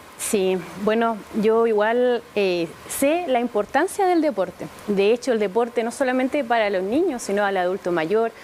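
With a Chilean accent, a woman talks at a fairly high pitch and a fairly slow pace. Her intonation is lively, and light background noise is present. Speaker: city councillor. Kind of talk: TV interview. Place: studio. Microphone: lapel.

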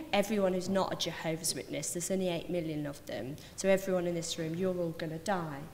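A woman's speech is picked up with audible room echo and light background noise. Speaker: speaker. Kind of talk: personal testimony talk. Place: hall. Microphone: podium.

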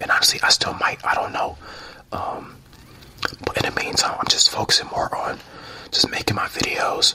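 Whispering at a moderate pace, a man speaks in a relaxed tone with long, frequent pauses. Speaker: ASMR creator. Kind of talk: casual ramble to camera. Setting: studio, drinking tea. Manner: soft-spoken, relaxed. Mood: reflective, positive. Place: home room. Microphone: handheld.

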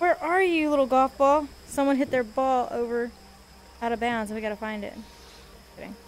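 Over light background noise, a woman with an American accent speaks at a moderate pace, high in pitch, with ordinary pitch variation and big swings in loudness. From US. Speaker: gaming streamer; VR game streamer. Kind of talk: casual chat. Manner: animated. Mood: playful, joking. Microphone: headset.

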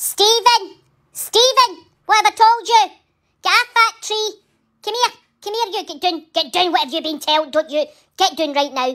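A woman puts on a character voice at an extremely high pitch. She keeps a moderate pace with long, frequent pauses. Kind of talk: comedic voice-over. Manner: scolding, loud.

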